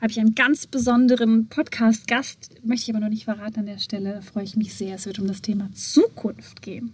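With fairly even intonation and a fairly high pitch, a woman talks at a fairly quick pace in an ordinary speaking voice. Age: 30s. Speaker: podcast host and entrepreneur. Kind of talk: solo podcast monologue.

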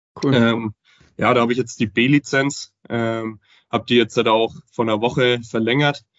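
A man at a fairly slow pace with monotone, flat intonation. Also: medium pitch for a man. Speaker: affiliate manager. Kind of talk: casual interview.

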